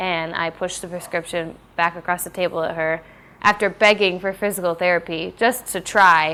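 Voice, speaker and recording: Recorded very cleanly with a silent background, a woman speaks at a moderate pace in a fairly low, bright, sharp voice with fairly even intonation. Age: 20s. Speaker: documentary subject living with chronic illness. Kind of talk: documentary interview.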